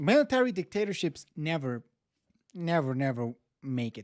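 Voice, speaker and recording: A man with a non-native accent speaks at a fairly high pitch and a fairly slow pace, making very wide pitch swings. The sound is dry and close, with no echo. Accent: non-native English accent, needs improvement. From Mexico. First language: Spanish. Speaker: YouTube reactor. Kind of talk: casual livestream reaction commentary. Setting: livestream.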